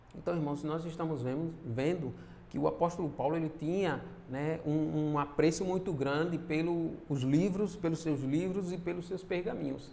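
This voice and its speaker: Pitched fairly high, a man speaks at a moderate pace with a dark, mellow tone and fairly even intonation. Audible room echo colors the sound. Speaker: church minister / preacher. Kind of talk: sermon. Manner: halting, many fillers.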